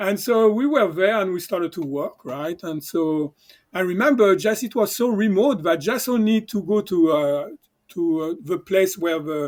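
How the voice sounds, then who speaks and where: A man with a high voice and a French accent speaks at a moderate pace with lively intonation. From southern France. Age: 60s. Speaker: chiropractor. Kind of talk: casual interview storytelling. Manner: halting, many fillers.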